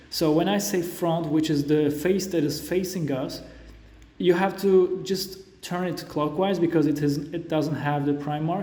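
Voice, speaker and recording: A man speaks at a high pitch with a non-native accent and fairly even intonation. Audible room echo surrounds his voice. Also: fairly slow pace. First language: not English. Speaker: Rubik's cube tutorial creator. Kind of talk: tutorial. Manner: halting.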